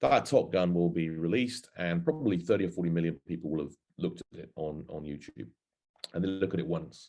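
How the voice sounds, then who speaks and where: With an English accent, a man speaks in a very deep, low pitch and a dark, mellow tone. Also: ordinary pitch variation, fairly quick pace. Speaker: marketing industry speaker. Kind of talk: webinar presentation. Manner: hesitant with fillers.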